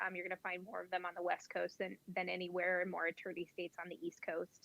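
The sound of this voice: A woman with an Illinois accent, bright and sharp in tone, medium in pitch, at a fairly quick pace. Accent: Illinois Midwestern.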